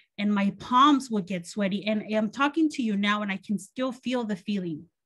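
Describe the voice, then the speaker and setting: This woman has a Spanish accent and a medium pitch. She speaks at a moderate pace with ordinary pitch variation. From Mexico (Guadalajara), raised in Los Angeles area from age 7. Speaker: college professor, keynote speaker. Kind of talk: keynote speech, personal testimony.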